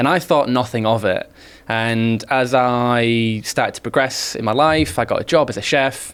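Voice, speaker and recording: At a moderate pace, the speaker uses ordinary pitch variation on a very clean recording with a silent background. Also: man, medium pitch for a man. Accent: Yorkshire. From northern England, Hull, Yorkshire. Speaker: public speaking trainer. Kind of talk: interview. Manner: quiet, reserved.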